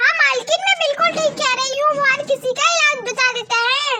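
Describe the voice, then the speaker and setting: Squeaky and extremely high-pitched, a woman's cartoonish character voice moves at a fairly quick pace. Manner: deferential.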